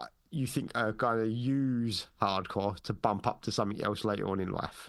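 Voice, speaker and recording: A man with an unremarkable speaking voice talks at a moderate pace and a medium pitch, with ordinary pitch variation. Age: 40s. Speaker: podcast host. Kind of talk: casual chat.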